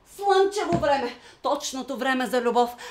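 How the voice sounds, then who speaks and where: Over noticeable background noise, a woman speaks fairly slowly with very wide pitch swings. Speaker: actor. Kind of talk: dramatic monologue.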